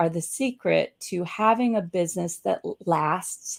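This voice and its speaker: At a fairly slow pace, a woman speaks with an American accent in a very clean recording with a silent background. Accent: Southern US, getting thicker. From US South. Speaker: business coach and show host. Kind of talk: casual interview chat. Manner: animated.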